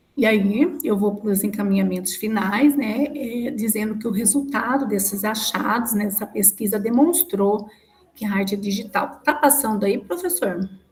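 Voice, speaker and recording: Noticeable background noise sits behind a woman's voice. Her pitch is fairly high and varies in an ordinary way. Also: moderate pace. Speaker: student defending thesis. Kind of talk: academic presentation. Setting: video call.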